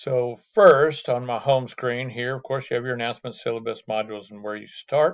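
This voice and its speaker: Over a quiet background, a man talks in an ordinary speaking voice at medium pitch with fairly even intonation. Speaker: math instructor. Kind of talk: lecture. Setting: video call.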